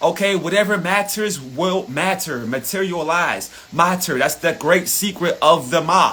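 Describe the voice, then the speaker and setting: Shouting in a raised, projected voice, animated in tone, with ordinary pitch variation over noticeable background noise. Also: man. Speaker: spiritual motivational speaker. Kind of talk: live motivational rant. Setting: livestream. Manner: loud, yelling.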